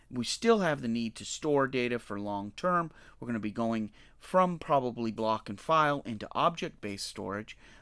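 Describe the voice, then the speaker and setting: In a plain, everyday voice of medium pitch, a man talks at a moderate pace with lively intonation and big swings in loudness, on a very clean recording with a silent background. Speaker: data analytics presenter. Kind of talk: technical explanation to camera, whiteboard tutorial. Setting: voice-over to screen drawing. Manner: casual, conversational, with frequent fillers.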